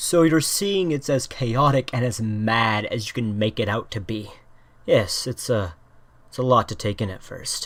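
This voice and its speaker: In a put-on character voice, a man speaks at a medium pitch with a calm tone and lively intonation, recorded very cleanly over a silent background. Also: moderate pace. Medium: solo performance. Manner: calm, cryptic.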